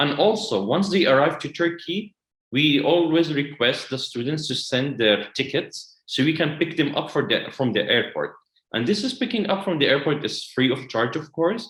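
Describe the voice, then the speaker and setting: In an Arabic accent, a man speaks at a moderate pace and a fairly high pitch with lively intonation. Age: 20s. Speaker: educational consultant. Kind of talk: webinar presentation. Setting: online webinar.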